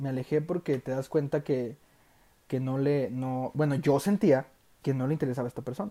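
A man with a dark, mellow tone and a fairly high pitch talks at a fairly quick pace. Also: ordinary pitch variation. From Mexico, Durango. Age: 20s. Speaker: young entrepreneur. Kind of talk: casual chat. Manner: animated.

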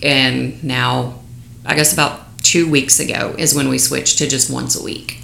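A woman with a West Texas accent at a moderate pace, with audible room echo and noticeable background noise. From Lubbock, West Texas. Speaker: small business owner and stepmother with illness. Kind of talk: interview, personal testimony.

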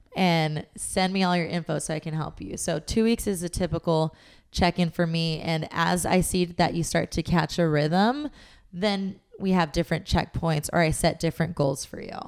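An unremarkable speaking voice from a woman with an American accent, fairly low in pitch, ordinary pitch variation, moderate pace, on a very clean recording with a silent background. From Southern California, Long Beach. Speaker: fitness and nutrition coach. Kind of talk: casual interview chat.

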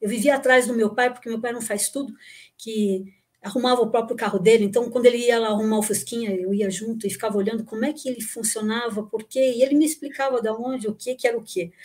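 The delivery moves at a very fast pace. Its intonation stays fairly even. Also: woman, fairly high pitch for a woman. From São Paulo, Brazil (born in Rio Grande do Sul, moved at nine). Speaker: engineer and recycling expert, former lecturer. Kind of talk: casual chat.

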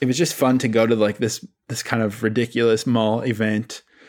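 This is a man with an ordinary speaking voice and medium pitch, talking at a fairly quick pace. His intonation is fairly even, and the recording is very clean with a silent background. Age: 30s. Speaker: music journalist. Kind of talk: casual chat.

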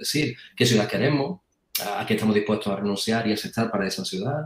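With lively intonation and a somewhat breathy sound, a man talks at a very fast pace. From Andalusia, Puente Genil (Córdoba). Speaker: English teacher. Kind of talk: casual debate.

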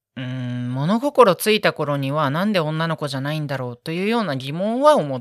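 Pitch swings very widely throughout. The sound is dry and close, with no echo. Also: woman, hardly any pauses, big swings in loudness. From Tokyo, Japan. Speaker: medical student. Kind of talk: casual interview chat.

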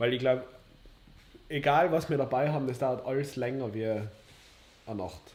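This man talks at a moderate pace, his medium-pitched voice carrying fairly even intonation. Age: 20s. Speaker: podcast co-host. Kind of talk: casual chat. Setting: livestream.

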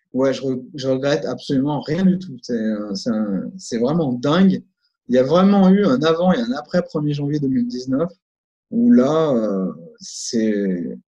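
A man's fairly high voice with a dark, mellow tone, very wide pitch swings and a very slow pace. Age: 40s. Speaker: memory and concentration coach. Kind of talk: interview.

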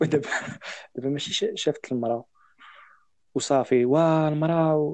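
The delivery has a moderate pace and fairly even intonation. It is a normal speaking voice. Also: man, fairly high pitch for a man. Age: young. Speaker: podcast guest. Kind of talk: casual chat.

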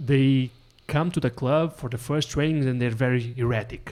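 This is a normal speaking voice at a moderate pace with ordinary pitch variation. The recording is very clean, with a silent background. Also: man. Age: 40s. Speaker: podcast host. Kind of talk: casual chat.

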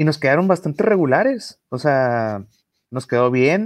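At a fairly slow pace, a man speaks with a fairly high pitch and lively intonation. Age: 30s. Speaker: barbecue enthusiast and competition judge. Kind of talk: casual chat. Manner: halting, many repetitions and fillers.

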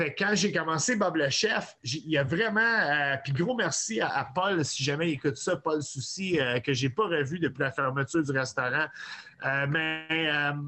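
A man is speaking. His intonation is lively. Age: 40s. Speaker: chef and online cooking personality. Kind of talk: casual chat.

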